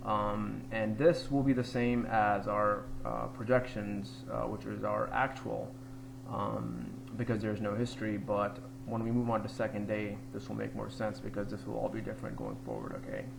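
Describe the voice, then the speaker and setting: Talking at a moderate speed, a man is heard with audible room echo and noticeable background noise. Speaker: trading group member explaining a money management spreadsheet. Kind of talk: screen-share tutorial. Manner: halting, many fillers; casual.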